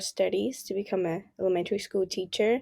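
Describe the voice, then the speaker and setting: In a very clean recording with a silent background, a woman speaks with a Spanish accent. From El Salvador, then California from age 13. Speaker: university student. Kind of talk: casual interview. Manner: hesitant, many fillers.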